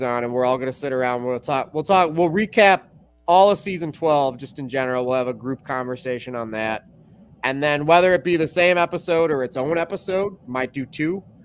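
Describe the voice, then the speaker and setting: A man with an American accent and a plain, everyday voice, fairly high in pitch, at a moderate pace with ordinary pitch variation. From Chicago. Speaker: podcast host. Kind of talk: casual chat. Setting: live stream.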